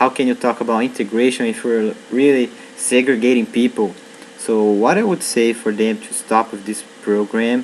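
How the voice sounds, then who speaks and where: Amid noticeable background noise, a man with a Brazilian Portuguese accent talks at a moderate pace and medium pitch, with fairly even intonation and big swings in loudness. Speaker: university student. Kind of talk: vlog monologue. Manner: hesitant, with fillers.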